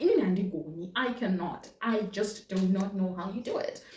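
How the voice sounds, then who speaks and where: Spoken with a Zimbabwean accent, the clip carries audible room echo and noticeable background noise. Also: woman. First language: Shona. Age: 20s. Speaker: vlogger and chef. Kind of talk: casual chat. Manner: animated, repetitive.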